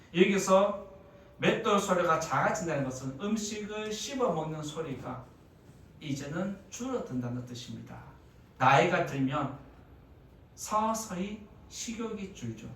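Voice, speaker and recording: A high-pitched man at a very slow pace with long, frequent pauses, very wide pitch swings and big swings in loudness, amid noticeable background noise and audible room echo. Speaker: pastor. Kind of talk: sermon. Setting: church.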